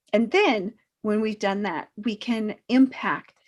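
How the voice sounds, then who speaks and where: On a very clean recording with a silent background, a woman with an American accent speaks fairly slowly in a somewhat breathy voice. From southern California. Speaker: self-improvement coach. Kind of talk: pre-recorded talk to camera. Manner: hesitant fillers.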